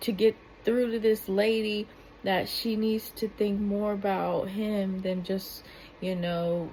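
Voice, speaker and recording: Slow-paced and somewhat breathy, a woman speaks at a medium pitch with monotone, flat intonation. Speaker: YouTube commentator. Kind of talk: reaction video commentary. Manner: soft-spoken; halting.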